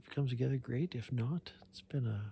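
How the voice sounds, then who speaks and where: Here a man whispers. His voice is somewhat breathy. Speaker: hunting vlogger. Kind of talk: outdoor vlog narration. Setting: outdoors. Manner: whispering.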